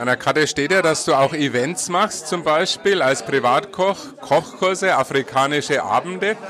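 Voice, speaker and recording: Amid noticeable background noise, a man with a Franconian accent speaks at a fairly high pitch with ordinary pitch variation. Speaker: radio host. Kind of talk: on-location interview. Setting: busy event venue.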